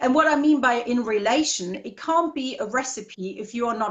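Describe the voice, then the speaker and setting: With an unremarkable speaking voice, a woman talks at a moderate pace in a fairly high pitch with ordinary pitch variation. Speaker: copywriting and marketing guest. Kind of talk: interview.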